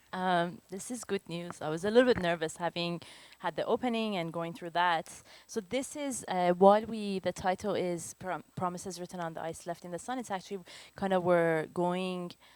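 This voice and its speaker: A woman at a moderate pace, fairly low in pitch, with a Persian accent. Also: ordinary pitch variation. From Iran, moved to Canada as a teenager. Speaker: photographer. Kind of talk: lecture.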